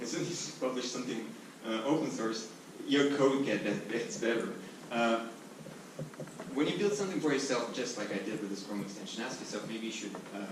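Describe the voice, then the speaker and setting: A medium-pitched man talks at a fairly quick pace with long, frequent pauses, amid noticeable background noise and audible room echo. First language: not English. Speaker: software company founder. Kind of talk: conference talk.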